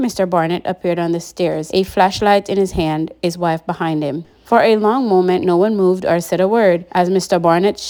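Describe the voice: Text is read out plainly. Nothing more than simple reading aloud.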